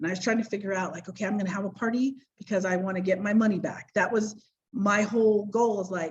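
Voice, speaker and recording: At a very fast pace, a woman with an American accent speaks at medium pitch, somewhat breathy, with fairly even intonation. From US, Idaho. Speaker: direct sales director. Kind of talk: personal business story on a panel. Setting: video call.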